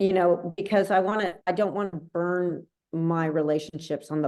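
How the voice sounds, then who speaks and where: A woman with an ordinary speaking voice talks at a moderate pace and a fairly low pitch with fairly even intonation. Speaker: commercial real estate trainer. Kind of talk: training session.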